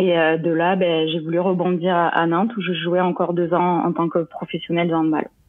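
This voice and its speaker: A woman with a fairly low pitch, speaking at a moderate pace. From southern France, Lozère (Mende). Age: 30s. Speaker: professional triathlete and former handball player. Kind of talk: interview. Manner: hesitant, many fillers.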